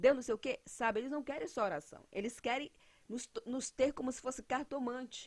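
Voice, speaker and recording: Speaking at a fairly quick pace, a woman has a high pitch. Her intonation is lively. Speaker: evangelical preacher. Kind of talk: sermon. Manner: loud.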